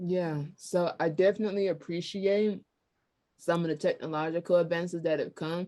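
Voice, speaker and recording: Over a quiet background, a woman with a normal speaking voice talks at a moderate pace, her fairly low pitch held in fairly even intonation. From US South, Georgia. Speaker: podcast host. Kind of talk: casual chat.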